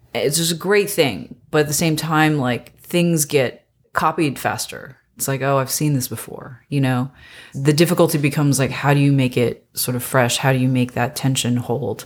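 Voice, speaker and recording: In a very clean recording with a silent background, a woman with an American accent speaks at a very deep, low pitch with ordinary pitch variation. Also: moderate pace. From US South, North Carolina. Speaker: TV writer, story editor. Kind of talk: casual interview.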